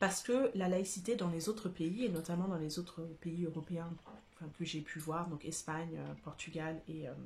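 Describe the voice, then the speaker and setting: The pace is fairly slow. A woman delivers it in a somewhat breathy voice. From France. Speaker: YouTuber reviewing a book. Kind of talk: casual vlog monologue. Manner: hesitant, many fillers.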